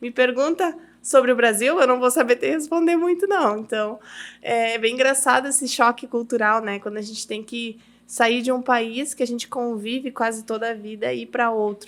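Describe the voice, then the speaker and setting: A woman speaks at a high pitch and a moderate pace, with ordinary pitch variation. The recording is very clean, with a silent background. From Uruguay (Brazilian raised there from age 4). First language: Spanish (speaking Portuguese). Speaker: businesswoman, podcast guest. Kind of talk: testimony in casual interview. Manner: halting, repeats words.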